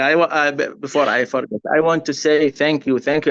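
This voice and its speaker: A man's fairly high voice with an Arabic accent, dry and close with no echo, over a quiet background. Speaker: refugee worker, nurse. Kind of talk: webinar testimony. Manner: halting, repeats words.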